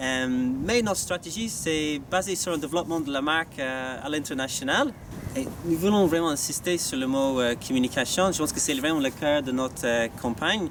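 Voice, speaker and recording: Noticeable background noise surrounds a man speaking in an Irish accent. His pitch is fairly high, with ordinary variation, at a moderate pace. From Ireland. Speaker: staff election candidate, business school sales manager. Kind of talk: campaign video statement. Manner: halting, many hesitations.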